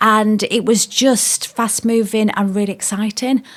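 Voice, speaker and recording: The voice speaks at a moderate pace with a Yorkshire accent. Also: woman. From South Yorkshire, England. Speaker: former police officer, business owner. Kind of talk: podcast interview.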